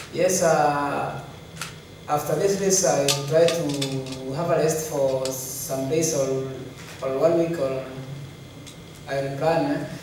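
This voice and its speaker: With strong room echo and noticeable background noise, a man speaks at a very slow pace in fairly even intonation, leaving long, frequent pauses. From Kenya. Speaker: elite marathon runner. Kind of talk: press conference interview. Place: hall.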